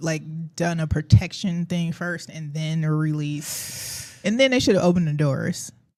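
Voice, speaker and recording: With a Southern US accent, this speaker talks at a moderate speed. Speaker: community yoga sponsor. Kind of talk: casual chat. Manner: halting.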